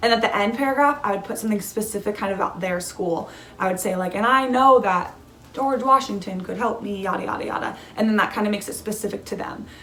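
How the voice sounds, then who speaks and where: Speech comes at a very fast pace with ordinary pitch variation. Audible room echo and noticeable background noise fill the recording. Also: woman, fairly high pitch for a woman. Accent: American. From California. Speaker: student vlogger. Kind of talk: casual advice vlog. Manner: casual, many fillers.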